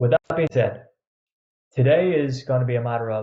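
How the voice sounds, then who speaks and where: Somewhat breathy, the voice has a dark, mellow tone. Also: man. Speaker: online coach. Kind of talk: webinar presentation. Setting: pre-recorded online event. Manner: fast; energetic.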